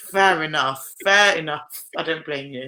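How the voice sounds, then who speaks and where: In a British accent, a woman speaks with a fairly low pitch and a bright, sharp tone. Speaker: podcast host and rugby player. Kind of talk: casual interview chat. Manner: casual, frequent fillers.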